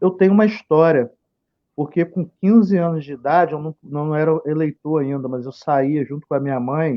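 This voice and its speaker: With an ordinary speaking voice, this man speaks at a fairly high pitch, his moderate pace matched by ordinary pitch variation. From Campos area, Rio de Janeiro state, Brazil. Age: 40s. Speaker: local political candidate. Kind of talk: live stream interview. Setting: Facebook live stream.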